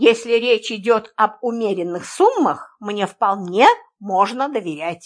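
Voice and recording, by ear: The speaker is reading aloud in a natural voice with lively intonation against a quiet background.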